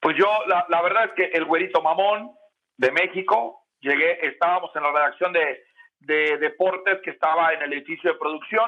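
A man with a high pitch talks at a moderate pace, showing ordinary pitch variation. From Mexico, Oaxaca. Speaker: sports journalist. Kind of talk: casual chat. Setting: remote call.

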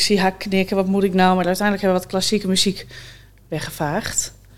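A woman speaks at a medium pitch. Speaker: funeral director. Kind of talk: casual chat.

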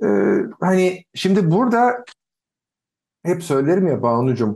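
A man speaks at a fairly slow pace in a dark, mellow tone. His pitch swings very widely. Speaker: podcast co-host. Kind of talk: casual chat. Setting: video call. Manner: serious.

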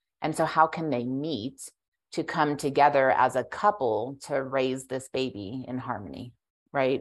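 A woman's very deep, low voice at a fairly slow pace, on a very clean recording with a silent background. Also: ordinary pitch variation. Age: 40s. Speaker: midwife. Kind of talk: casual chat.

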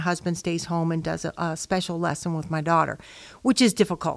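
A woman with an American accent speaks in a plain, everyday voice, fairly low in pitch with fairly even intonation, on a very clean recording with a silent background. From Chicago, Illinois. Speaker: church member, parent. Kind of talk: casual chat.

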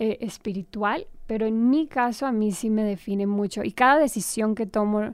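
A woman talks at a moderate pace in a plain, everyday voice. The recording is very clean and the background is silent. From Colombia, Armenia. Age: 30s. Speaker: actress. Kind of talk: interview.

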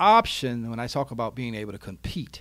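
A man speaks in an animated tone with ordinary pitch variation on a very clean recording with a silent background. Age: 40s. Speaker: retirement wealth coach and insurance business owner. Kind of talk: casual interview. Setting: studio.

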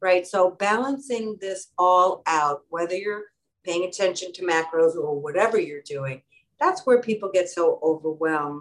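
Her medium pitch shows ordinary variation as this woman speaks at a moderate pace. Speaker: kidney stone prevention nurse. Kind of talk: casual chat. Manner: animated.

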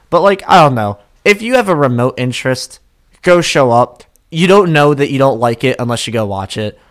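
A normal speaking voice from a man, fairly high-pitched, with lively intonation and a fairly quick pace. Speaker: podcast co-host. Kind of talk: casual chat.

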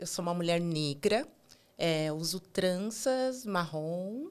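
Very slow in pace, a woman speaks on a very clean recording with a silent background. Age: 30s. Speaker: digital accessibility QA analyst. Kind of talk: interview.

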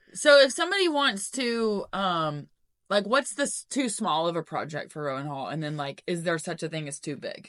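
A woman at a medium pitch and a moderate pace, with very wide pitch swings, big swings in loudness, and a quiet background. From Knoxville, Tennessee. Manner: excitable, enthusiastic.

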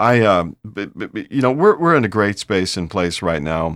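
In an American accent, a man with a fairly low pitch and a normal speaking voice talks at a moderate pace on a very clean recording with a silent background. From Ohio, US Midwest. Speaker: podcast host for an advertising association. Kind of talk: casual interview.

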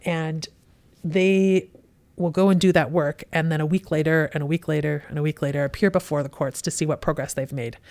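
A woman speaks with a Western Canadian accent at a fairly quick pace. Her pitch is very deep and low, and her intonation stays fairly even. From Western Canada (Kelowna, British Columbia). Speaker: police superintendent. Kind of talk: interview.

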